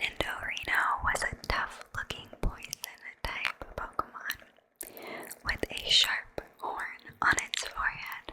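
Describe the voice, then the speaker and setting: Whispered speech comes at a very slow pace, with noticeable background noise around it. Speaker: ASMR creator. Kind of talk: bedtime story reading.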